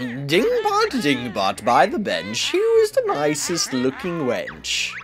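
In a put-on character voice, a man speaks in a sing-song way at a fairly slow pace, with clear background noise. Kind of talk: reading game dialogue aloud in character. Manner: spooky, sing-song storytelling.

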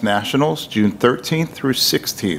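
Lively intonation fills the speech of a man. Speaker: board member giving a report. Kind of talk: formal report reading. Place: meeting room. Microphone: podium.

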